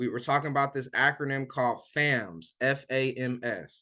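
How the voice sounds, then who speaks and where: A man's bright, sharp voice at a medium pitch. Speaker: weight loss coach. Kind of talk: live online coaching session. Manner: animated.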